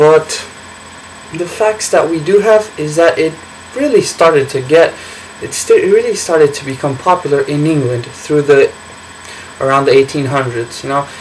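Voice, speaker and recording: Against noticeable background noise, a man with a fairly high pitch and ordinary pitch variation speaks at a moderate pace, pausing long and often. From Brazil. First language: Portuguese. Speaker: college student. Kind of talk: class speech. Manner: halting, many fillers.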